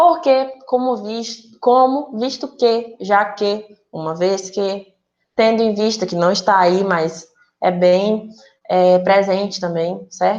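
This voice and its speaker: Speaking at a very slow pace, a woman keeps a medium pitch and shows ordinary pitch variation. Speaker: teacher. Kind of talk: online class lesson. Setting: recorded virtual class.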